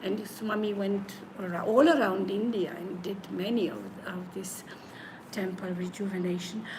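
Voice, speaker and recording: Amid noticeable background noise and audible room echo, a woman with a medium pitch speaks at a fairly slow pace. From Slovenia. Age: 70s. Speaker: spiritual teacher and bhajan group leader. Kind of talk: interview. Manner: halting.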